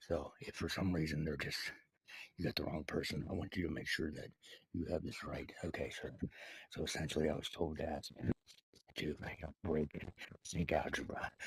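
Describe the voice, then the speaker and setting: A man's very deep, low, somewhat breathy voice at a moderate pace, monotone with flat intonation and long, frequent pauses. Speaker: satirical video creator. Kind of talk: satirical monologue addressed to the president. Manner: hesitant, many filler words.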